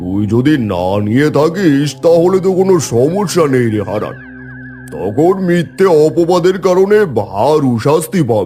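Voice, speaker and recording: Over clear music in the background, a man does a cartoonish character voice at a fairly high pitch, with very wide pitch swings and a fairly slow pace. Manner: commanding.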